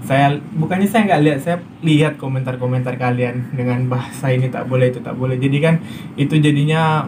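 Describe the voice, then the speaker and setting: Noticeable background noise and audible room echo sit behind a fairly quick delivery with fairly even intonation. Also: man. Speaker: migrant worker vlogger. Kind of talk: casual vlog monologue. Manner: hesitant with fillers.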